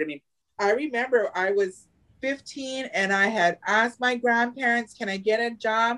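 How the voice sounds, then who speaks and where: A woman's fairly high voice with lively intonation. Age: 40s. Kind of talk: casual chat. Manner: animated, laughs often.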